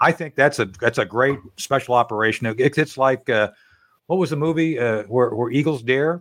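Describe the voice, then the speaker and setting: A man speaks in an ordinary speaking voice, medium in pitch with ordinary pitch variation. His pace is moderate, and the recording is very clean, with a silent background. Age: 60s. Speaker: talk radio host and former combat officer. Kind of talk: casual interview chat.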